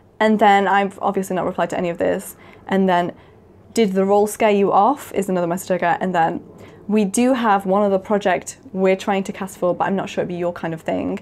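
A woman with an unremarkable speaking voice, medium pitch, fairly even intonation and a fairly quick pace, over light background noise. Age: 20s. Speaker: YouTuber; video creator. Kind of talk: casual monologue to camera. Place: home room.

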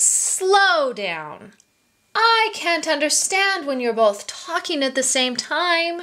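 Using a put-on character voice, a woman speaks in a calm tone at a very slow pace with extremely high pitch. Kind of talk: children's story reading. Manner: calm, clever.

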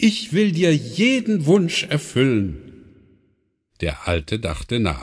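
A man with a gentle, warm tone and vocal fry, at a very slow pace with very wide pitch swings, on a very clean recording with a silent background. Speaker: audiobook narrator. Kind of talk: bedtime story reading, calm fairy-tale narration aloud with character voices. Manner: gentle, unhurried storyteller pace, warm and expressive.

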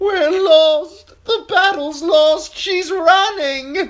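Someone uses a put-on character voice pitched extremely high and spoken very slowly. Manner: wailing, panicked.

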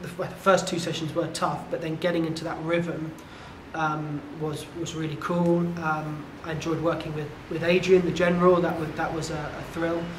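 Over light background noise and with audible room echo, a man talks at a moderate pace in a high pitch with monotone, flat intonation. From England, Devon; England. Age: 30s. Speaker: tech entrepreneur and fitness client. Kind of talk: testimonial interview. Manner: halting, with many fillers. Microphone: lapel.

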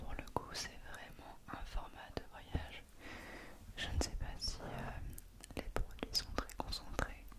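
A woman whispering at a very slow pace. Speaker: ASMR content creator. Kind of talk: ASMR skincare unboxing, whispered triggers. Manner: whispered, soft. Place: home room. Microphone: studio mic.

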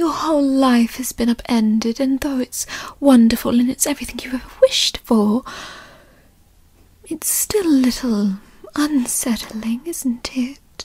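Soft-spoken and fairly slow, this voice leaves long, frequent pauses in a dry recording with no echo. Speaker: roleplay narrator voicing a mother figure. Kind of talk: roleplay audio monologue. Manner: soft, tender ASMR comforting voice.

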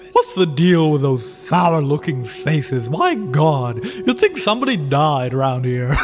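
With clear music in the background, a man does a put-on character voice at a moderate pace and a fairly high pitch. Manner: gleeful, playful.

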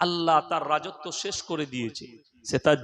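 A man is talking. The tone comes across bright and sharp. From West Bengal, Bardhaman district. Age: 30s. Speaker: Islamic preacher. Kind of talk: sermon.

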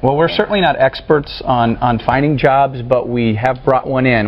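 The pace is fairly quick. Faint noise sits in the background. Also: man.

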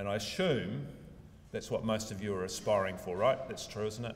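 A man's plain, everyday voice, fairly low in pitch, at a moderate pace over light background noise. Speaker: speaker. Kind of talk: lecture. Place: hall. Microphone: podium.

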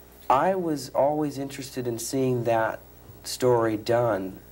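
A man talks at a fairly slow pace, and his pitch varies in an ordinary way. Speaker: actor being interviewed. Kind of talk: interview answer. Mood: relaxed, amused. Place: studio.

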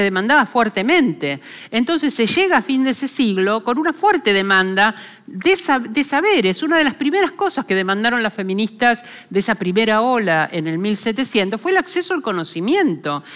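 Very wide pitch swings from a woman with a fairly high voice at a moderate pace, over a quiet background. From Argentina. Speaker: philosopher; lecturer. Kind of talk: lecture. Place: hall. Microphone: headset.

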